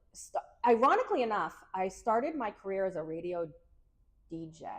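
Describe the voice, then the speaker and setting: In a Massachusetts accent, a woman of medium pitch speaks at a fairly quick pace with lively intonation and big swings in loudness. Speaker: PR agency owner, former radio DJ. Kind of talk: podcast interview. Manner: casual, many filler words.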